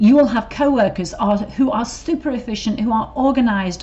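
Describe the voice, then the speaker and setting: A woman with an English accent speaks at a moderate pace in a fairly high pitch with ordinary pitch variation. There is noticeable background noise. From England. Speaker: corporate trainer. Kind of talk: training video. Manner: casual, with fillers.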